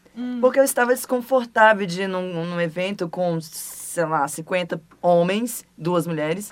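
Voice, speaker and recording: Noticeable background noise sits behind a woman who speaks at a fairly slow pace with lively intonation and hardly any pauses. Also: medium pitch for a woman. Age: 20s. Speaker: role-playing gamer. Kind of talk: casual chat.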